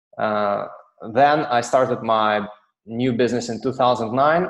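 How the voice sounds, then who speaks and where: A speaker with a Russian accent talks at a fairly slow pace. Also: man. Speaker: software company director. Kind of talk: webinar presentation. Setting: online webinar. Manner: halting, many fillers.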